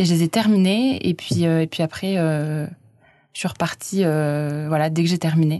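In a dark, mellow tone, a woman talks at a fairly slow pace with a fairly low pitch, ordinary pitch variation and very even loudness. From France, Auvergne (Clermont-Ferrand). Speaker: French language institute volunteer teacher. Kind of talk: casual interview. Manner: hesitant, many fillers.

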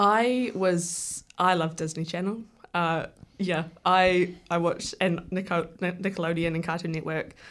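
Here a woman speaks with a New Zealand accent at a fairly slow pace. Her pitch is fairly low and her intonation fairly even. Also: quiet background. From New Zealand, Wellington area. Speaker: filmmaker. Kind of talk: radio interview. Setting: radio studio.

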